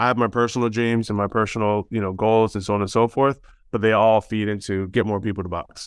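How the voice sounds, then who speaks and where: A man with an American accent, fairly low pitch, very fast pace and monotone, flat intonation, in a dry, close sound with no echo over a quiet background. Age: 40s. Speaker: professional boxer and entrepreneur. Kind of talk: interview.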